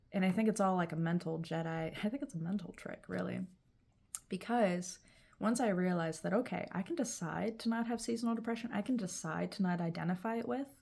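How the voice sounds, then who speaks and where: Somewhat breathy, a woman talks at a fairly quick pace with ordinary pitch variation. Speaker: vlogger. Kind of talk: casual vlog monologue. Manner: projecting, speaking up. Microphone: no proper mic, built-in mic.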